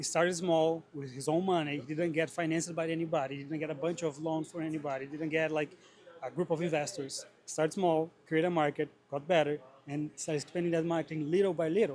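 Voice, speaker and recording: A man with a Brazilian Portuguese accent talks very fast in a fairly high, monotone voice with flat intonation. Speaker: greenhouse grower. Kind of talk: interview. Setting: trade show.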